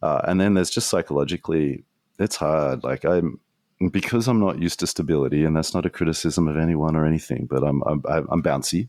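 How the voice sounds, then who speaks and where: Speaking with an Australian accent, a man has a very deep, low pitch. His loudness stays very even. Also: ordinary pitch variation, fairly quick pace. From Australia, Sydney. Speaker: strategist, trainer and podcaster. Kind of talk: podcast interview. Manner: little facial movement when speaking.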